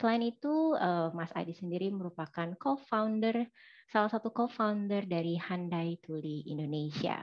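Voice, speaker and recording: Against a quiet background, a woman talks with lively intonation and hardly any pauses. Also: moderate pace. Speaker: webinar moderator. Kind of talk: moderated online seminar. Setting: video call. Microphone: headset.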